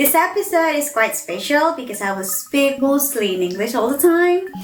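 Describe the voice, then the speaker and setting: With music in the background, a woman speaks at a high pitch with very wide pitch swings. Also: moderate pace. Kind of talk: casual talk to camera.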